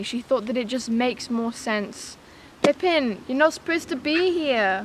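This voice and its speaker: The words come fairly slowly. They carry a British accent. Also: woman. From England. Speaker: homesteading vlogger. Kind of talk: casual chat.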